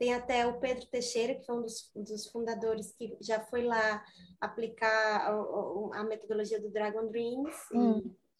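A fairly high-pitched woman's voice, fairly slow and monotone, with flat intonation. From southern Brazil. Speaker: designer, community garden member. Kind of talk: radio interview.

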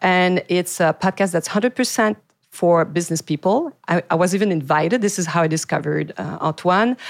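With a Quebec accent, a woman talks at a fairly quick pace and fairly low pitch with ordinary pitch variation, on a very clean recording with a silent background. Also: dry, close sound with no echo. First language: French. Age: 40s. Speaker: podcast host, PR agency owner. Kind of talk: interview. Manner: halting.

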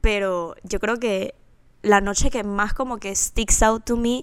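A woman is speaking. Her pitch is medium and her pace is very slow. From Panama. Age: 20s. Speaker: podcast co-host. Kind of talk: casual chat.

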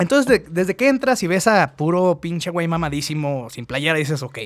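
This man talks with a Mexican accent, his voice pitched high. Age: 30s. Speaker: podcast host. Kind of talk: casual chat.

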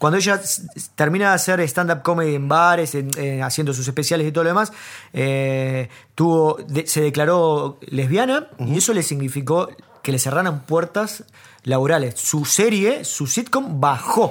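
With an unremarkable speaking voice, a man talks at a moderate pace, his fairly high pitch showing ordinary variation. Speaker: comedy podcast co-host. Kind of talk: casual chat.

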